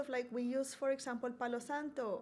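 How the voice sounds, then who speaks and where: A woman's high-pitched voice with a Colombian accent. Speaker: university diversity coordinator. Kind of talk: podcast interview.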